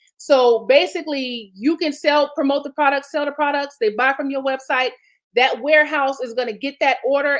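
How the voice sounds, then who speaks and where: This woman's voice is high in pitch. She speaks at a fairly quick pace. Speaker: marketing coach. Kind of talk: conference presentation. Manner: fast.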